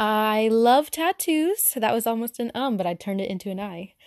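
Against a quiet background, a woman with a Southern US accent speaks at a fairly slow pace in a fairly high voice, with ordinary pitch variation. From Arkansas, US South. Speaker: podcaster. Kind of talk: casual solo podcast monologue. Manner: awkward, self-conscious, filler words.

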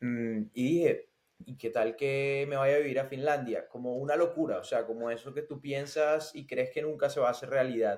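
A man with an unremarkable speaking voice talks at a moderate pace, his fairly high pitch held in fairly even intonation. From Colombian Caribbean, Barranquilla. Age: 20s. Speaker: tech sales professional. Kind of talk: interview.

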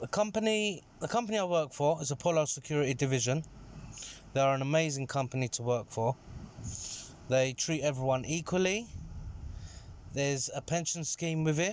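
A man with a London accent speaks at a fairly quick pace in a fairly high voice, his lively intonation broken by long, frequent pauses. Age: 30s. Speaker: security manager. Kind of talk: interview.

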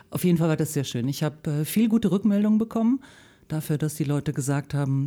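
This woman has a very deep, low pitch and a dark, mellow tone, with lively intonation at a fairly quick pace. The recording is very clean, with a silent background. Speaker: voice actor. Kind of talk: casual radio interview. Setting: radio studio.

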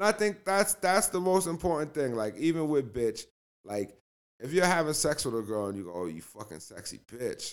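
A man with an American accent speaks at a fairly high pitch with very wide pitch swings. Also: moderate pace, big swings in loudness. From Cambridge, Massachusetts. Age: 40s. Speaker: rapper. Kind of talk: casual chat. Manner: halting, many repeated words.

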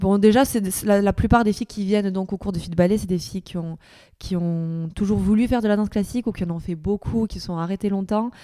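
This woman, with a southern French accent, has a dark, mellow tone at a medium pitch, fairly even intonation and a fairly quick pace, on a very clean recording with a silent background. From southern France, Perpignan. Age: 30s. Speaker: dancer and choreographer. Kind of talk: interview. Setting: dance studio.

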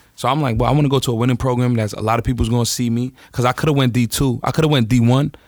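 A man at a medium pitch talking at a very fast pace with fairly even intonation, on a very clean recording with a silent background. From Staten Island, New York. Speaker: former pro basketball player and rapper. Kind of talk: casual chat.

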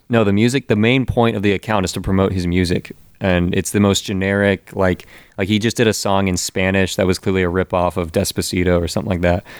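Dry and close with no echo, a man's very deep, low voice moves at a very fast pace with very even loudness and fairly even intonation. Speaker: podcast co-host. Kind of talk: casual chat. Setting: hotel room.

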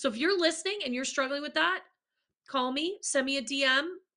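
A woman's raised, projected voice, bright and sharp in tone, high in pitch, at a fairly quick pace. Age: 40s. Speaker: podcast host, leadership coach. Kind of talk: casual interview chat.

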